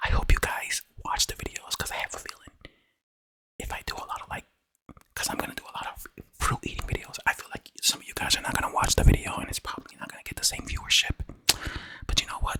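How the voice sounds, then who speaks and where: Whispering comes at a very fast pace, with big swings in loudness and long, frequent pauses. The sound is dry and close with no echo. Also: man. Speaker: ASMR eating content creator. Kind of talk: casual talk to camera.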